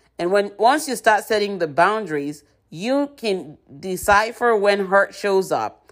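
With a very clean recording and a silent background, a woman speaks in an unremarkable speaking voice at medium pitch, keeping a moderate pace and ordinary pitch variation. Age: 50s. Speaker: podcast host and author. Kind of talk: inspirational monologue.

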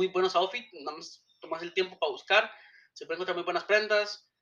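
The man talks in a high-pitched voice. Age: 20s. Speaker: podcast host. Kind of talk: solo podcast monologue. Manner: hesitant, frequent fillers.

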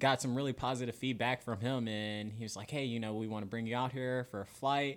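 On a very clean recording with a silent background, a man with an American accent speaks at a medium pitch in a monotone, flat way. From Florida. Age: 20s. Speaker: TV news journalist. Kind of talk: casual interview chat.

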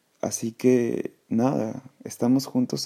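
A man's voice, dark and mellow in tone. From Peru, Callao. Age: 20s. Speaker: podcast host, English teacher. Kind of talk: casual solo podcast monologue. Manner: halting, many fillers; passionate.

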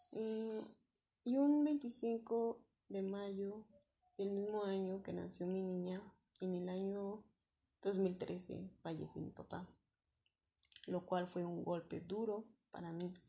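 In a central Mexican accent, a woman speaks very slowly at medium pitch, her tone dark, mellow and somewhat breathy. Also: ordinary pitch variation. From Mexico City. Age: 20s. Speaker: returning adult student. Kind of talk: personal testimony. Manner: halting.

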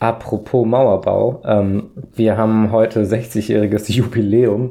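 Dark and mellow in tone, a man speaks at a medium pitch. His intonation stays fairly even. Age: 20s. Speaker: podcast co-host. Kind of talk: casual chat.

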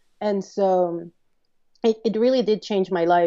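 A woman's dark, mellow tone in a Spanish accent, fairly even in intonation, at a fairly slow pace. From northeast Mexico, border with South Texas. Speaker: media producer. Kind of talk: interview. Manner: halting.

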